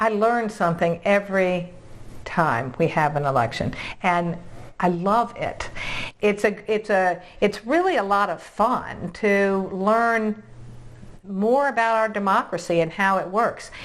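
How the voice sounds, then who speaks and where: A woman with an American accent speaks fairly slowly in an unremarkable speaking voice, medium in pitch, with ordinary pitch variation. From Virginia. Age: 60s. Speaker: realtor and video host. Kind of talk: interview.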